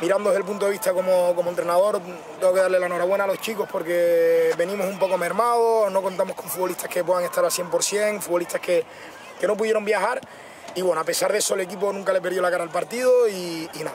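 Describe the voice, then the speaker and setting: A man speaks at a very fast pace in a high pitch with monotone, flat intonation. The sound is dry with no echo, and background noise is noticeable. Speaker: football coach. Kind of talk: interview answer. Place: stadium.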